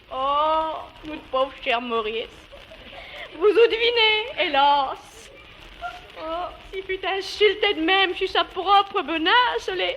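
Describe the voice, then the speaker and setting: A woman speaks at a very slow pace in an extremely high pitch, with very wide pitch swings. Noticeable background noise runs underneath. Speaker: dialect storyteller. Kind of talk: humorous dialect monologue.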